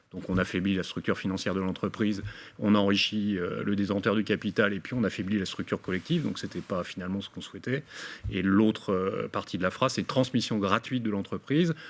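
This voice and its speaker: A man's fairly low voice with ordinary pitch variation at a fairly quick pace. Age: 60s. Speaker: business owner. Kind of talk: webinar presentation. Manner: halting, many fillers.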